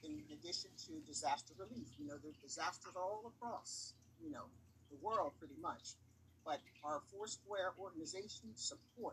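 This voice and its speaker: Speaking in an ordinary speaking voice at a fairly high pitch, a man keeps a moderate pace with lively intonation and big swings in loudness. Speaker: church announcer. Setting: church service, also streamed online.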